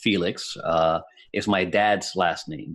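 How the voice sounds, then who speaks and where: At a very slow pace, a man speaks with a slight Puerto Rican accent and ordinary pitch variation. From Puerto Rico. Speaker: IT business owner. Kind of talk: casual chat.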